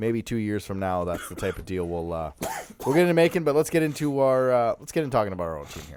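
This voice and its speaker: Very fast, a man's medium-pitched voice makes very wide pitch swings and big swings in loudness. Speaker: hockey podcast co-host. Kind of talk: casual sports chat. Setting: studio.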